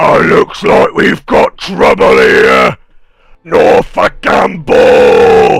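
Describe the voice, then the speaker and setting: This man uses a put-on character voice, growling and bellowing at an extremely high pitch. He speaks at a very slow pace. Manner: roaring, snapping.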